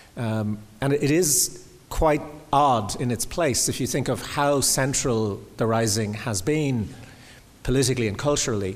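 A man with an Irish accent talks at a fairly slow pace, his medium pitch showing ordinary variation. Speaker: critic and interviewer. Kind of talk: public conversation. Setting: stage with audience.

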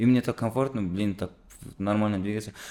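The speaker is a man with a fairly low pitch. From Kazakhstan. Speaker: musician. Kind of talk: casual chat.

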